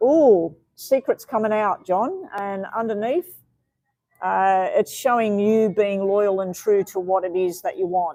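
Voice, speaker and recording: A woman with an Australian accent talks at a fairly slow pace in a dark, mellow tone. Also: medium pitch for a woman, ordinary pitch variation. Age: 60s. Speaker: tarot reader. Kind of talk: live-stream tarot reading. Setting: live stream.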